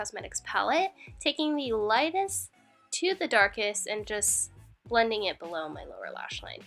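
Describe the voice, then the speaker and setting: A woman talks at a moderate pace. Background music can be heard. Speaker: makeup artist. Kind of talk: makeup tutorial voiceover. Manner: casual, chatty.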